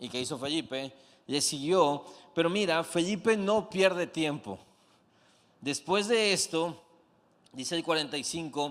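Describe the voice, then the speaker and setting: A man with a high pitch and animated tone, fairly slow, with long, frequent pauses. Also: ordinary pitch variation. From Mexico, Comalcalco, Tabasco. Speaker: pastor. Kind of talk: sermon.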